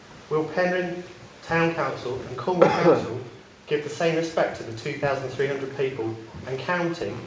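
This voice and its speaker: Delivered at a fairly quick pace with ordinary pitch variation, the speech carries audible room echo and noticeable background noise. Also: man. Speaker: local resident and petition signer. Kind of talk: public meeting question. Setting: town council public meeting. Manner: quiet, trying to project. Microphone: too quiet, told to get closer to mic.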